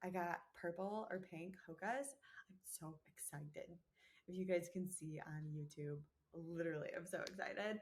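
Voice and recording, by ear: A woman performs a put-on character voice, raspy and fairly low in pitch. Her loudness swings widely at a moderate pace.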